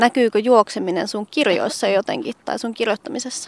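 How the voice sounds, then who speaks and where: A woman with an ordinary speaking voice at a fairly high pitch, moderate pace and ordinary pitch variation, in a dry, close sound with no echo. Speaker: radio journalist. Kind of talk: casual interview. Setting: outdoors.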